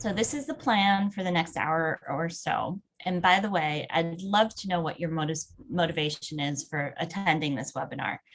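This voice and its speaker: A woman talks at a moderate pace in a fairly low, somewhat breathy voice with ordinary pitch variation. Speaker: webinar presenter. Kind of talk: webinar presentation.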